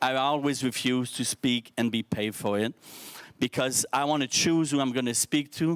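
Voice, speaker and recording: A man's medium-pitched voice with a French accent, fairly slow and fairly even in intonation, dry and close with no echo on a very clean recording with a silent background. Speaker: social entrepreneur, speaker. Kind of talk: keynote speech to youth forum. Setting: stage with audience. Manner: halting, self-correcting.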